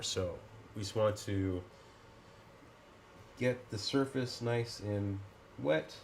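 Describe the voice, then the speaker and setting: A man is speaking. His voice is somewhat breathy. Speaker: scale model builder. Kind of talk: tutorial talk to camera. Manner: casual, hesitant.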